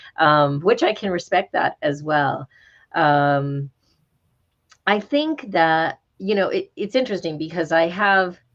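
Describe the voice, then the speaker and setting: A woman speaks very slowly with an American accent. Her fairly low voice has lively intonation. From New Mexico, US (southeastern). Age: 60s. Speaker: law professor and author. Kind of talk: panel talk Q&A.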